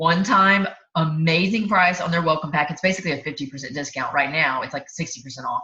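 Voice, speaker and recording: A woman's very deep, low voice with a bright, sharp tone. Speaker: network marketing team leader. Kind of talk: sales training presentation. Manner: animated; fast.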